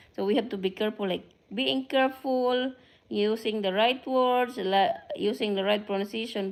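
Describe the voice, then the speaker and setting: A woman with a Filipino accent at a moderate pace, showing ordinary pitch variation. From Philippines. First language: Filipino (Tagalog). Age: 50s. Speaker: vlogger. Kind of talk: casual live stream chat. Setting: live stream to camera. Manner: halting.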